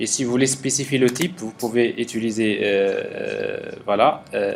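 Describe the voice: A man's fairly low voice with vocal fry, at a fairly slow pace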